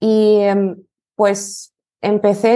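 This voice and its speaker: A dark, mellow tone comes through with a quiet background. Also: woman. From Lithuania. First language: Lithuanian (speaking Spanish). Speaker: language teacher. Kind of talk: interview.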